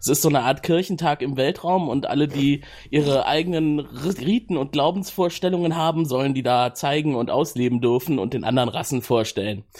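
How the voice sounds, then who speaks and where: A man with an unremarkable speaking voice, fairly high in pitch, at a fairly quick pace with hardly any pauses and ordinary pitch variation. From Cologne, Germany. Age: 30s. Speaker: project manager, podcast guest. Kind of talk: casual chat. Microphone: new good microphone.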